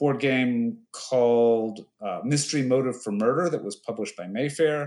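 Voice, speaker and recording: A man with an unremarkable speaking voice keeps a moderate pace, his medium pitch showing ordinary pitch variation. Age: 50s.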